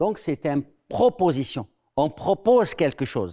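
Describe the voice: At a fairly slow pace, a man speaks with a fairly high pitch, a dark, mellow tone and big pitch swings.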